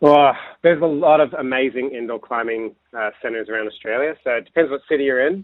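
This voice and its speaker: A man's medium-pitched voice with an American accent, ordinary pitch variation and a very fast pace. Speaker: climbing coach. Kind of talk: radio interview.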